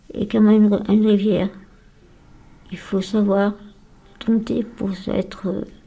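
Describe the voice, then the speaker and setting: The voice has a dark, mellow tone, a somewhat breathy quality and flat, monotone intonation, moving at a very slow pace. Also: woman, long, frequent pauses. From France, Lyon area. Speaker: day-care psychiatric patient. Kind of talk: radio interview. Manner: halting.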